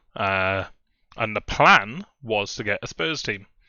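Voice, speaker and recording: A man with a Welsh accent. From Wales. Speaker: fantasy football content creator. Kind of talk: casual video commentary. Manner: hesitant, many fillers.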